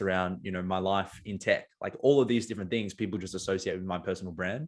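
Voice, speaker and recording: A man speaks at a fairly quick pace with an Australian accent. His pitch is fairly low, and the background is quiet. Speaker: marketing agency owner and poet. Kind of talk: podcast interview. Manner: many filler words and restarts.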